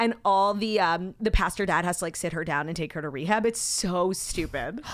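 A woman talks at a fairly quick clip, her fairly low voice showing ordinary pitch variation in a dry sound with no echo. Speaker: podcast co-host. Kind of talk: casual podcast chat. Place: studio. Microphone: studio mic.

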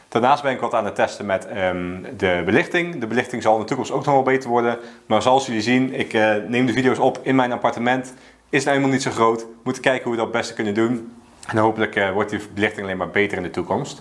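Speaking at a very fast pace, the man uses ordinary pitch variation. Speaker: personal finance vlogger. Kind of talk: explainer talking to camera. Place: home room.

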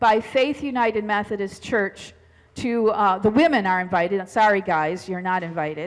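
Over a quiet background, a woman speaks at a moderate pace with ordinary pitch variation. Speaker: pastor. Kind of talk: church announcements. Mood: friendly, informal. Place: church. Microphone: headset.

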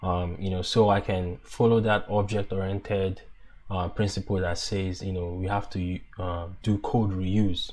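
A man speaks at a fairly slow pace with a very deep, low pitch. His somewhat breathy voice holds a monotone, flat intonation. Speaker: app developer. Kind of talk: coding tutorial narration.

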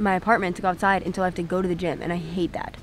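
A woman's voice comes through dry with no echo, with light background noise behind it. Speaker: vlogger. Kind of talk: casual vlog chat. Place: beach. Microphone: phone near.

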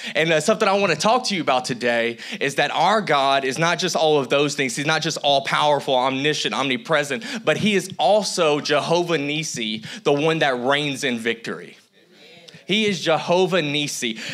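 A man with a fairly high pitch talks in an animated tone with lively intonation. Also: moderate pace. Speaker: guest preacher. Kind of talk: sermon. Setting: church with congregation. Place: church. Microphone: handheld.

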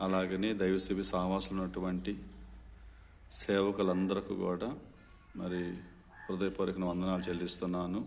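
Very deep and low in pitch, this man's voice has monotone, flat intonation and very even loudness. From India, Nellore district, Andhra Pradesh. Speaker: pastor. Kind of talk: formal video statement. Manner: formal.

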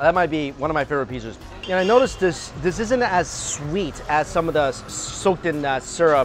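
Faint music plays in the background as a man talks at a fairly quick pace. The sound is dry, with no echo. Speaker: food vlogger. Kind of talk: casual tasting commentary. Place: street. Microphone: lapel.

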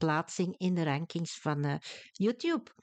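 In a Flemish accent, a woman speaks at a fairly slow pace with a fairly low pitch. The background is quiet, and the sound is dry and close with no echo. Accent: Flemish Dutch. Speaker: language teacher. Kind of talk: tutorial.

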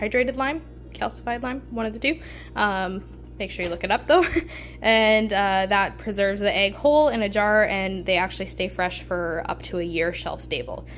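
A woman talks at a moderate pace. There is faint music behind her. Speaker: homesteading vlogger. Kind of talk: casual vlog chat. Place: kitchen.

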